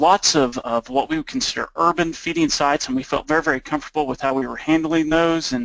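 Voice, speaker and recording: A man is speaking. He has an Oklahoma accent. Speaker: nonprofit program manager. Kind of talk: webinar presentation. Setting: webinar call.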